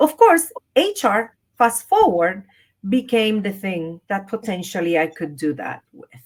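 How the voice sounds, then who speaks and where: The speaker has a Spanish accent and a fairly slow pace. Both pitch and loudness swing widely, the pitch very much so. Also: woman, medium pitch for a woman. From Puerto Rico. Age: 50s. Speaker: leadership and wellness coach. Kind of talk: interview.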